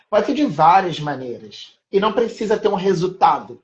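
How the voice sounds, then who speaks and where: A man is speaking. His pace is moderate. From Rio de Janeiro, Maré favelas. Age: 30s. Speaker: art educator. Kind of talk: casual interview chat.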